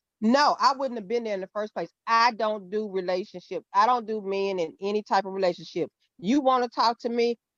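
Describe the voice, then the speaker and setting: A woman speaks with a Southern US accent at a fairly high pitch and a fairly quick pace. Her pitch varies in an ordinary way, and the sound is dry and close with no echo. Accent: Southern US, noticeable twang. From Mississippi. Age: 50s. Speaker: guest discussing dating experiences. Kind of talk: casual panel conversation.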